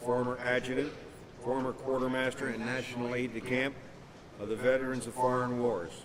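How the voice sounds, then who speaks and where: Over noticeable background noise, a man with an American accent talks very fast. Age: 60s. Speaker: war veteran. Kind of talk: keynote speech.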